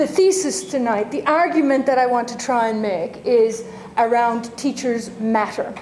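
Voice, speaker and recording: A woman with an Irish accent, high in pitch with ordinary pitch variation, amid audible room echo and noticeable background noise. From Ireland, Limerick. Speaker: university dean, lecturer. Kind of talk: lecture. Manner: halting, many fillers.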